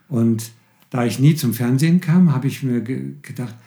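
A man with a medium-pitched, somewhat breathy voice and a dark, mellow tone talks at a moderate pace. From Austria, Tyrol. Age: 70s. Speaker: pastor. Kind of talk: interview. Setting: studio.

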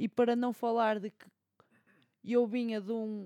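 Recorded with a dry, close sound and no echo, a woman with a fairly high pitch and a dark, mellow tone speaks at a moderate pace. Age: 20s. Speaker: podcast co-host, law student. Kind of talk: casual chat.

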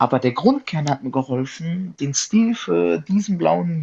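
This man's fairly high, somewhat breathy voice swings very widely in pitch as he talks at a fairly slow pace. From southern Hesse, Germany (Darmstadt). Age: 20s. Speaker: car photographer. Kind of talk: casual chat.

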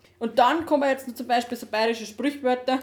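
Amid noticeable background noise, a woman talks at a fairly quick pace with fairly even intonation. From Upper Bavaria, Dachau hinterland. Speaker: podcast co-host. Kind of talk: casual chat. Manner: quiet. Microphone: laptop recording, levels too quiet.

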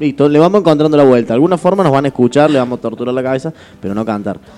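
The pitch varies in an ordinary way, with noticeable background noise behind the voice. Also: man. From Argentina. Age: 20s. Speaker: radio host. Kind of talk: casual chat. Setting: radio studio.

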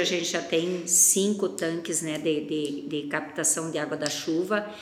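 Over noticeable background noise and audible room echo, a woman speaks at a fairly slow pace with hardly any pauses and ordinary pitch variation. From northern Paraná, Brazil. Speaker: agribusiness co-founder. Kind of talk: interview.

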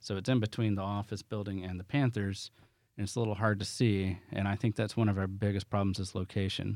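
A man with a Southern US accent talks at a fairly quick pace in a fairly low, monotone voice with flat intonation. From US South. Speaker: business owner. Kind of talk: casual interview.

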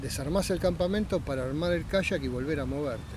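A man with a Rioplatense accent talks in a fairly high voice with lively intonation. There is audible echo in the room. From Buenos Aires, Argentina. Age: 60s. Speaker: kayaker. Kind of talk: interview.

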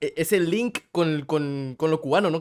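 A man's animated, high-pitched voice with ordinary pitch variation. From Guatemala. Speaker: podcast host. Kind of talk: casual chat.

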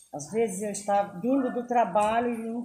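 This woman's voice has a dark, mellow tone, is somewhat breathy, and moves at a moderate pace. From São Paulo, Brazil. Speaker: community leader. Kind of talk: interview.

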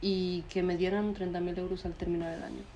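A woman speaks with a dark, mellow tone. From Spain. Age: 20s. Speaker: podcast co-host. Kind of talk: casual chat.

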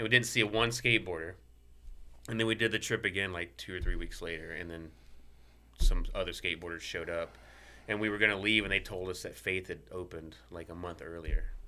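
A man with a Southern US accent, very deep and low in pitch yet bright and sharp in tone, at a very fast pace with ordinary pitch variation and big swings in loudness. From Mississippi. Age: 40s. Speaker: professional skateboarder. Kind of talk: casual chat.

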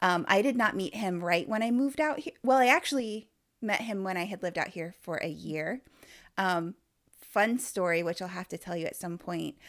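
Over a silent background in a very clean recording, a woman with an unremarkable speaking voice and a medium pitch talks at a moderate pace with lively intonation. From Indiana. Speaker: podcast host, coach. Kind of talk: podcast monologue; casual interview.

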